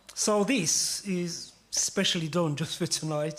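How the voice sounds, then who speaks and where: Over noticeable background noise, the speaker goes at a fairly slow pace with fairly even intonation. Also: man. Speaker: poet. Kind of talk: poetry performance with audience participation.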